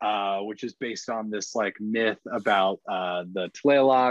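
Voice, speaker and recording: Against a quiet background, a man with a normal speaking voice talks at fairly low pitch with fairly even intonation. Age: 30s. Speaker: film industry executive. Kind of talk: casual chat.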